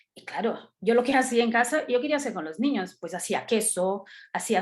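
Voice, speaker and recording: A woman is speaking. She has a Brazilian accent. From Brazil, São Paulo. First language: Portuguese (speaking Spanish). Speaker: art educator. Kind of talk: talk in online meeting. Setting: video call.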